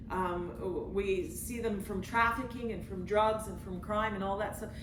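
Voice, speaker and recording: There is audible room echo and noticeable background noise as a woman talks with fairly even intonation. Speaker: missionary leader. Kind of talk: testimony.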